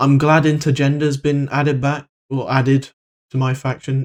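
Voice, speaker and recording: A man speaks at a moderate pace in a medium pitch, his intonation monotone and flat. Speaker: gaming YouTuber. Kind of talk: video commentary. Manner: stutters; flat, low-energy delivery.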